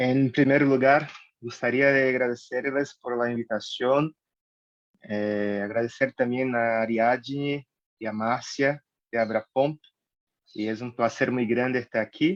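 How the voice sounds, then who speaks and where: With a Brazilian accent, a man speaks at a fairly slow pace and medium pitch, his intonation fairly even and the sound dry and close with no echo. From Brazil, Salvador de Bahia. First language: Portuguese (speaking Spanish). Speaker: neurologist. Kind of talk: lecture.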